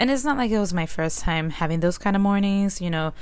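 A woman at medium pitch, with audible room echo. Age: 20s. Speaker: solo podcaster. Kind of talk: casual monologue. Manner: conversational, many fillers.

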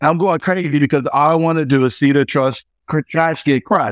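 In a dry, close sound with no echo, a man with an unremarkable speaking voice and a fairly high pitch talks at a moderate pace. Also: quiet background. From Fayetteville, North Carolina. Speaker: real estate developer and coach. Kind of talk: interview.

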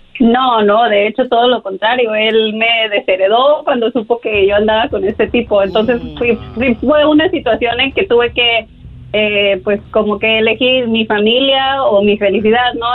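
Over music in the background, a woman talks at a moderate pace with hardly any pauses, using a fairly high pitch and ordinary pitch variation. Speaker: caller. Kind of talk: testimony.

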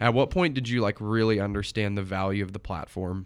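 On a very clean recording with a silent background, a man uses an ordinary speaking voice. His pitch is fairly low with ordinary pitch variation, at a fairly quick pace. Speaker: podcast host and college student marketer. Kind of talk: interview conversation; scripted intro.

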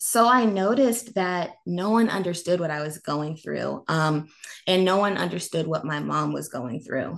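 Using a plain, everyday voice, a woman with an American accent talks at a moderate pace and fairly low pitch. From North Carolina. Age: 20s. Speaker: public speaker. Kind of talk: interview.

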